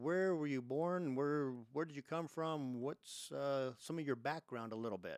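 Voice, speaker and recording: At a fairly slow pace, the speaker uses ordinary pitch variation, and the sound is dry and close with no echo. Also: man. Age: 60s. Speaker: podcast host. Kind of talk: interview. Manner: casual, hesitant.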